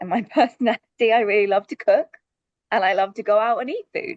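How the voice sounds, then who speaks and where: A woman talks at a fairly quick pace in a London accent, her pitch swinging very widely. The sound is dry and close, with no echo. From London, UK. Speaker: sustainability director. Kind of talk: panel presentation.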